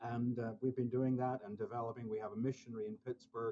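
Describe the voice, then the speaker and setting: His voice has a dark, mellow tone, a medium pitch for a man, and monotone, flat intonation. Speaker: mission director. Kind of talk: podcast interview.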